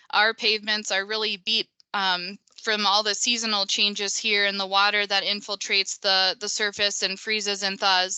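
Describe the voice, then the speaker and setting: A woman with a Minnesotan accent talks at a medium pitch and moderate pace, her intonation monotone and flat. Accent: Minnesota. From US Midwest, Minnesota. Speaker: pavement engineer. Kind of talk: webinar presentation. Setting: online webinar.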